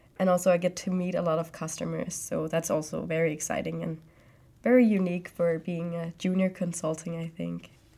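Recorded very cleanly against a silent background, a woman speaks with a plain, everyday voice at a fairly low pitch. Her pace is fairly quick and her intonation fairly even. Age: 20s. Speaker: student and junior IT consultant. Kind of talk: interview. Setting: studio.

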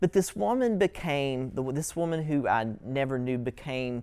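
Someone with an Appalachian accent talks at a fairly slow pace on a very clean recording with a silent background. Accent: Appalachian US Southern. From southeastern Kentucky, US. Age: 30s. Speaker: writing workshop instructor. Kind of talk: lecture.

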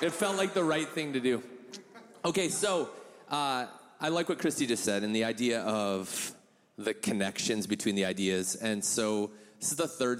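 An unremarkable speaking voice, a man at medium pitch talks at a moderate pace with lively intonation. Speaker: church member giving a talk. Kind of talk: casual testimony with jokes. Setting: church with audience.

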